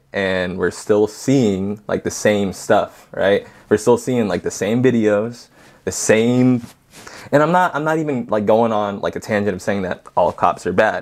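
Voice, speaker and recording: A man speaks at a medium pitch and a fairly slow pace with ordinary pitch variation, in a plain, everyday voice. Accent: American. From southern California. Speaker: podcast guest, father. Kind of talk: casual conversation.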